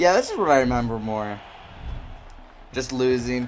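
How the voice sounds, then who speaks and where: Noticeable background noise sits behind a man speaking at a medium pitch. His intonation is lively and his pace moderate. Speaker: gaming youtuber. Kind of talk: casual gameplay commentary. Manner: casual, slangy.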